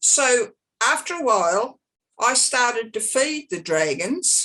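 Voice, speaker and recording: A high-pitched woman with an Australian accent, bright and sharp in tone, speaking very slowly with very wide pitch swings. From Australia, Sydney Northern Beaches. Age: 60s. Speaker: psychic. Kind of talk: casual chat.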